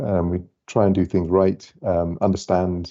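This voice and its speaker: A man talks in a very deep, low pitch with a dark, mellow tone. His intonation is monotone and flat. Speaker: lighting company director. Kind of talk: webinar presentation.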